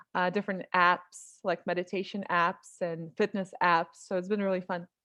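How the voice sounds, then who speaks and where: Speaking with a Russian accent, a woman uses a medium pitch and a moderate pace. Her intonation is flat and monotone. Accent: light Russian accent in American English. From Russia (Moscow), partly Europe; born in Ukraine. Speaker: writer and voice-over artist. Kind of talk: interview.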